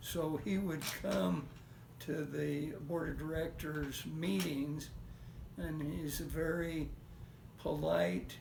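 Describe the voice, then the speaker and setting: A man's fairly high voice with an American accent, very slow delivery, very wide pitch swings and long, frequent pauses, plus audible room echo and noticeable background noise. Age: 80s+. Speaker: retired rocket engineer. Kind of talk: family interview, recollection. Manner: halting, many fillers.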